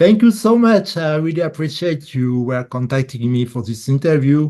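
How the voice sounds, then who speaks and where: A man with a strong French accent speaks against a quiet background, his fairly high voice dark and mellow with lively intonation. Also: moderate pace. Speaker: bassist, musician. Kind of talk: casual interview. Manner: halting English.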